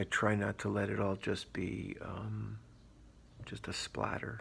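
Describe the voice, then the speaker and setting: A man whispering with long, frequent pauses, in a very clean recording over a silent background. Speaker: grieving father keeping a video diary. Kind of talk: personal video diary monologue. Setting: in an apartment. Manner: halting, hesitant.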